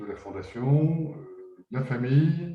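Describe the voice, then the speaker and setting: Somewhat breathy and dark, mellow in tone, a man speaks at a very slow pace with a fairly high pitch and lively intonation. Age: 60s. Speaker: business founder. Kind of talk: webinar discussion. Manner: halting, many hesitations.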